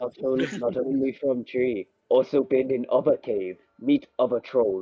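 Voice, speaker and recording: Putting on a character voice, a man speaks at a medium pitch. His pace is moderate. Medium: actual play. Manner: broken caveman speech.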